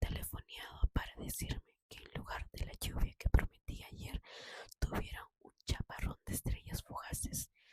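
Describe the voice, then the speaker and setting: A woman is whispering at a fairly slow pace. The sound is dry and close, with no echo. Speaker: ASMR channel host reading a book aloud. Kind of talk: whispered audiobook reading, ASMR. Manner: whispered, soft.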